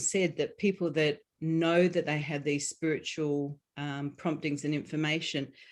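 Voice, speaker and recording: A woman speaks with an Australian accent at a very deep, low pitch. The recording is very clean, with a silent background. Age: 50s. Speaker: author and healing coach. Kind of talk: interview. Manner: halting, many fillers.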